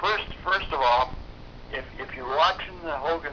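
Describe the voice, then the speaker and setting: A man drags his words out very slowly, with noticeable background noise around him. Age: 80s+. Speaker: war veteran. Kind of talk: interview. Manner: halting.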